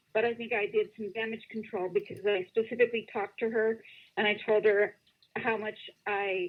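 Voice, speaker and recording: A woman speaks with an American accent at a moderate pace. Her pitch is fairly high. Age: 60s. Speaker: caller. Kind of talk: casual chat. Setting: phone call. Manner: halting.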